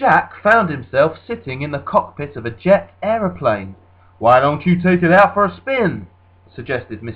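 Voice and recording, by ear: Someone reads a passage aloud in a natural voice, the intonation lively throughout.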